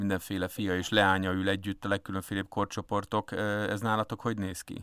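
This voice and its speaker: Recorded very clean with a silent background and a dry, close sound with no echo, a man speaks at a moderate pace with a fairly low pitch. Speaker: radio host. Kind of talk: interview. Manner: hesitant, many fillers.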